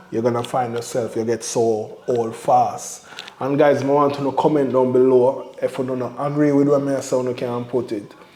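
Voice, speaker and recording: A man with a Jamaican accent speaks at medium pitch in a monotone, flat way at a moderate pace with hardly any pauses, amid noticeable background noise and audible room echo. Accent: Jamaican patois-inflected English. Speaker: family vlogger. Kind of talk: casual chat.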